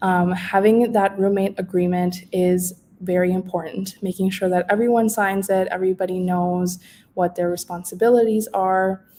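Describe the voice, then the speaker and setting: Speaking at a fairly slow pace, a woman uses a dark, mellow tone with monotone, flat intonation. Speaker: housing services presenter. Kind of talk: informational webinar presentation. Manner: hesitant, many fillers.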